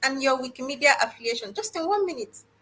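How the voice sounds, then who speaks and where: A woman speaks at a fairly quick pace in a raised, projected voice, her high pitch making very wide swings. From Nigeria. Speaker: guest host. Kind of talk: live panel interview.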